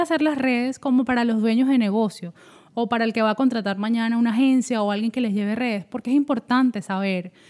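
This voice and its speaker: The woman's high voice moves along at a fairly quick pace. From Venezuela, Caracas. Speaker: social media consultant. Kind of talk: casual interview. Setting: in person, same room.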